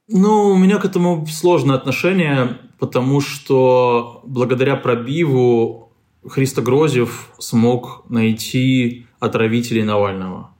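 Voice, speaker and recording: A man at a medium pitch speaks at a very slow pace, his loudness very even throughout. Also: lively intonation. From Moldova. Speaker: investigative journalist and editor. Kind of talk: interview.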